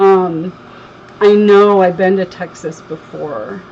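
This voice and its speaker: A woman's medium-pitched voice with an American accent and fairly even intonation, over noticeable background noise. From Connecticut, US. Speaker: crafter, livestream host. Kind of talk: casual chat on a craft livestream.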